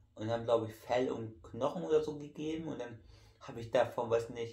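A man talks at a medium pitch, his pitch varying in an ordinary way, while noticeable background noise carries on. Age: 30s. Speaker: YouTuber. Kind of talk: casual vlog talk while eating. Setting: at home in living room. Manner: halting.

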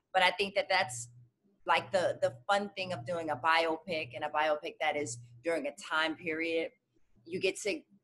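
A woman talks at a moderate pace with a fairly low pitch and ordinary pitch variation. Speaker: actress interviewee. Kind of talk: interview answer. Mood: cheerful, animated. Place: home room. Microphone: video call.

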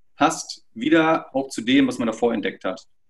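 Against a quiet background, a man with a fairly high pitch speaks with very wide pitch swings. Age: 40s. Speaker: social network project representative; interview guest. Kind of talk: interview. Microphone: video call.

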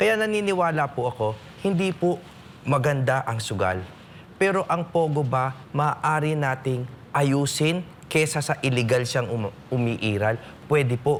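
Lively intonation at medium pitch from a man, an unremarkable speaking voice. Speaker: lawyer and political candidate. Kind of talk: political forum. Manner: formal.

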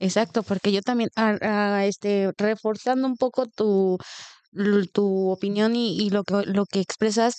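Against a quiet background, a woman speaks at a fairly slow pace in a monotone, flat intonation. Her loudness stays very even, and the sound is dry with no echo. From Mexico. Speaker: podcast co-host. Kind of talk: interview. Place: home room. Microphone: studio mic.

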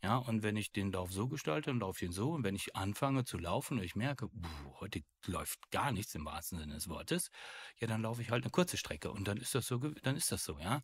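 A man speaks at a fairly quick pace in a fairly low, somewhat breathy voice with very wide pitch swings. The recording is very clean, with a silent background. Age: 50s. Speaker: burnout speaker, former insurance worker. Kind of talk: interview. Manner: hesitant, many fillers.

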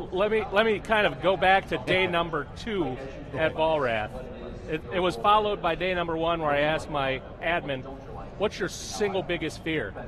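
A man with a high pitch and ordinary pitch variation speaks at a moderate pace, leaving long, frequent pauses, over noticeable background noise. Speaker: IT manager. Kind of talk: interview. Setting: trade show floor. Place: studio. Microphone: lapel.

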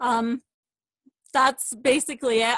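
A woman speaks at a high pitch with fairly even intonation. Her pace is fairly slow against a quiet background. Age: 30s. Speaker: fitness coach. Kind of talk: testimony. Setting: video call.

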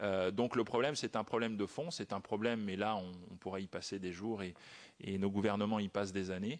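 Against a quiet background, a man with a fairly low pitch talks at a fairly quick pace with fairly even intonation. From France. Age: 40s. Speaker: former private banker, wealth manager. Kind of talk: parliamentary hearing testimony. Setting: committee hearing room. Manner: halting.

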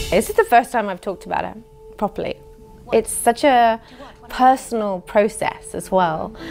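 A woman with an English accent speaks at a moderate pace with big swings in loudness, faint music in the background. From England. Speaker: actress. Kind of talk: interview answer. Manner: candid, reflective. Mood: candid, reflective, amused. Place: home room.

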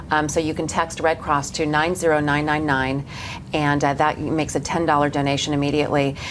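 Flat, monotone speech with an American accent comes through over noticeable background noise. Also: woman. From Los Angeles. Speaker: morning TV news host; TV show host. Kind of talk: morning show interview. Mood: earnest, concerned. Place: studio.

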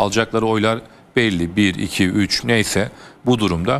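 A man uses an ordinary speaking voice at a medium pitch. His pace is moderate, and his pitch variation is ordinary. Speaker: newspaper columnist. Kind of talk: TV political panel discussion. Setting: TV studio. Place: studio. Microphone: lapel.

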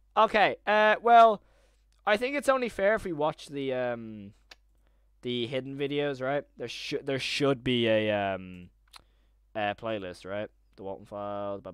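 Speaking with an Irish accent, a man uses an animated tone, very wide pitch swings and big swings in loudness at a fairly slow pace, with long, frequent pauses. The sound is dry with no echo against a quiet background. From Ireland. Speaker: YouTuber live streaming horror series breakdown; livestreamer. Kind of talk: live stream commentary to chat. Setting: home live stream with chat. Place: home room. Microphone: studio mic.

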